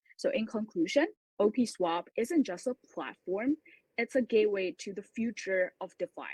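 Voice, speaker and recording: In a normal speaking voice, a woman with a fairly high pitch talks at a moderate pace with lively intonation. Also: dry, close sound with no echo. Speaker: startup co-founder presenting a crypto project. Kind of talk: pitch presentation with Q&A.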